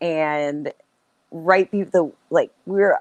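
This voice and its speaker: A woman with an American accent uses an ordinary speaking voice at a fairly low pitch with ordinary pitch variation, recorded dry and close with no echo. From United States. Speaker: professional wrestler. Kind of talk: interview answer. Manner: casual, chatty.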